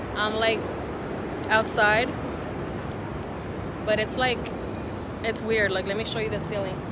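Speaking at a fairly slow pace with long, frequent pauses, a woman with an American accent is heard in a dry sound with no echo over loud background noise. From Texas, USA. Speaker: vlogger. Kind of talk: casual vlog talk to camera. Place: street. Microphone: phone near.

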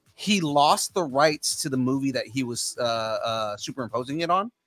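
With an American accent, a man speaks at a moderate pace. Faint music plays in the background, and the sound is dry with no echo. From San Francisco, the Mission; San Francisco. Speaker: podcast host. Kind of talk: casual chat. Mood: jovial, laughing. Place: home room. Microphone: studio mic.

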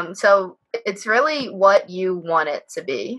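Against a quiet background, a woman talks in a bright, sharp tone. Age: 20s. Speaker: undergraduate mining engineering student. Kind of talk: Q&A panel at a virtual open house. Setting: video call. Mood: friendly and helpful. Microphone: earbuds.

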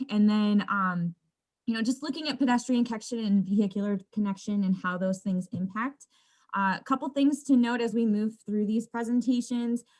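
Somewhat breathy, fairly high speech from a woman, with ordinary pitch variation. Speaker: landscape designer. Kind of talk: presentation. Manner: fast.

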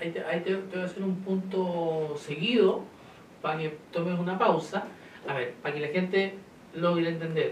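Moderate pace from a man, light background noise, and audible room echo. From Chile. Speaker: community TV host; interviewer host. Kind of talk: interview. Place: studio.

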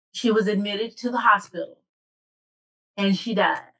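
A woman's bright, sharp tone comes through with fairly even intonation over a quiet background. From Arkansas (Little Rock). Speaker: bereavement specialist. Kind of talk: panel discussion. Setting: video call. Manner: halting. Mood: earnest, reflective. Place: home room. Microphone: webcam.

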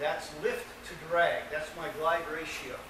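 Amid noticeable background noise and audible room echo, a man speaks high in pitch at a fairly slow pace. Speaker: presenter. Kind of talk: lecture. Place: hall. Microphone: camera far.

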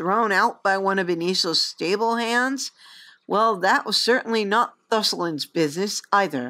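The pitch varies in an ordinary way as someone reads aloud in a natural voice. Behind it, the background stays quiet.

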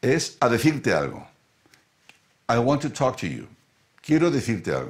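This man's voice sits at a medium pitch. Vocal fry runs through it. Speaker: English teacher. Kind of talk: live-streamed lesson.

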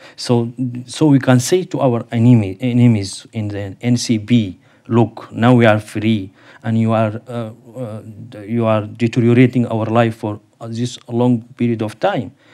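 A speaker with an Arabic accent talks at a fairly slow pace in a dark, mellow tone. The intonation stays fairly even over a quiet background. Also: man. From Sudan. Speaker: associate professor. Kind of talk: panel discussion. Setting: seminar with audience. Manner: halting. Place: studio. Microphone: lapel.

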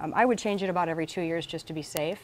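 At a very fast pace, a woman talks with a fairly low pitch and ordinary pitch variation. Light background noise sits behind her. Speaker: presenter. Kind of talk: tutorial.

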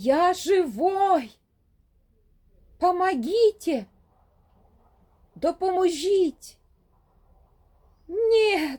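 In a put-on character voice that is shrill and extremely high-pitched, the speaker goes at a very slow pace with long, frequent pauses. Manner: shrieking in despair.

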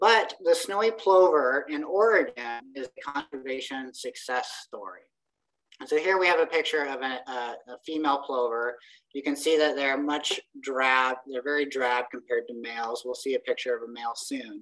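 A woman speaks with very deep, low pitch. Her intonation is lively. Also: moderate pace, big swings in loudness, quiet background. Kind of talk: lecture. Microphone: video call.

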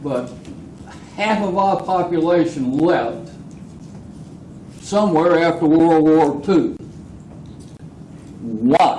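A man's high voice with an American accent, very slow pace, long and frequent pauses, ordinary pitch variation, and audible room echo. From Georgia, US South. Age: 80s+. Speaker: public commenter at city council. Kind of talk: public comment at council meeting.

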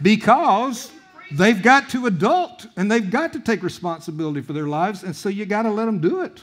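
A man's high-pitched voice at a fairly quick pace, with very wide pitch swings. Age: 60s. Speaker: guest preacher. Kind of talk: sermon. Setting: church. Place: church. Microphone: headset.

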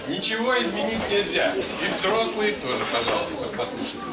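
Loud background noise runs under the recording. A man talks at a moderate pace. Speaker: literary reader and musician. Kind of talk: address to audience. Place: hall. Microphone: camera far.

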